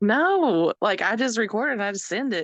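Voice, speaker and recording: A woman with an American accent speaks at a moderate pace, her sound dry and close with no echo against a quiet background. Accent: Southern twang, thicker when excited. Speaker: podcast guest. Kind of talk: casual chat.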